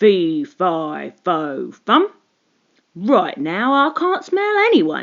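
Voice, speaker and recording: This is a put-on character voice, raspy and rumbling with a fairly high pitch. It moves at a very slow pace. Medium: read story.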